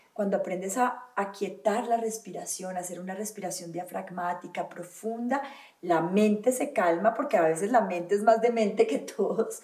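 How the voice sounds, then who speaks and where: A woman speaks at a medium pitch. Noticeable noise runs in the background. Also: ordinary pitch variation, moderate pace. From Colombia, Valle del Cauca. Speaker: holistic wellness teacher. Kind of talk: interview conversation.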